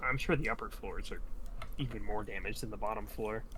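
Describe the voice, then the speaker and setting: A man uses a put-on character voice at a very fast pace. Loud background noise runs underneath. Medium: actual play.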